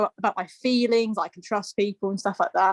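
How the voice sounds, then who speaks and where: Speaking at a very fast pace with an English accent, a woman comes through in a dry, close sound with no echo. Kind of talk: casual chat. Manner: halting.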